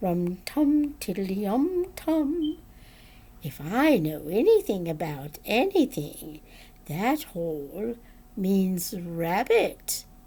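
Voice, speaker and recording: A woman puts on a character voice at medium pitch, making very wide pitch swings at a very slow pace. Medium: read story. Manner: cheerful, simple.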